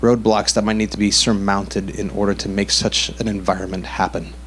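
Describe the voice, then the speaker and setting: Light noise hums in the background. A man does the talking. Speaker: audience member asking question; audience member. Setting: audience Q&A with microphone. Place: hall.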